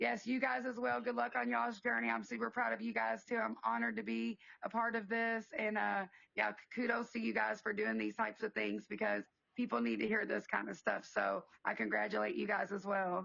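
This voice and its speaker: Speaking at a fairly quick pace, a woman with a fairly low pitch uses vocal fry, very wide pitch swings and very even loudness. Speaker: business owner. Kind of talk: podcast interview.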